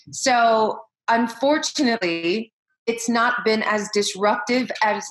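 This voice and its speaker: There is audible room echo on this recording. The woman speaking has a fairly high pitch. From US Midwest, Iowa. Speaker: education leader and keynote speaker; keynote speaker. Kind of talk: interview. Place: home room. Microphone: webcam.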